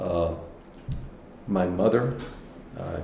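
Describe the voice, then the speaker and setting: A man with a very deep, low pitch at a fairly slow pace, with audible room echo and noticeable background noise. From New Mexico, Las Cruces. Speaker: senior lawyer. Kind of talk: oral history interview. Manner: halting.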